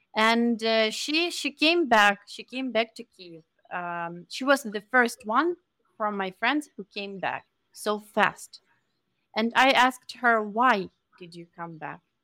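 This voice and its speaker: At a very slow pace, a woman with a bright, sharp tone speaks with lively intonation and big swings in loudness. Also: dry, close sound with no echo. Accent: Ukrainian. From Ukraine. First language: Ukrainian. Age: young. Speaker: Ukrainian refugee. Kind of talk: interview.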